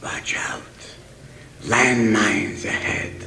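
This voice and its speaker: Raspy, put-on character voice. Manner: whispering, hushed.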